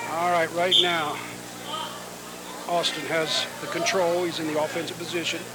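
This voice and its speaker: A high-pitched male voice at a moderate pace, with long, frequent pauses, audible room echo and noticeable background noise. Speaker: wrestling commentator. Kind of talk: live commentary. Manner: animated. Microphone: audio issues.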